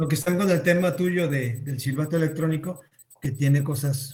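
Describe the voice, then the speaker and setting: The voice has a dark, mellow tone and is somewhat breathy. It moves at a moderate pace with fairly even intonation. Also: man. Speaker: youth club organizer. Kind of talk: casual chat moderating Q&A.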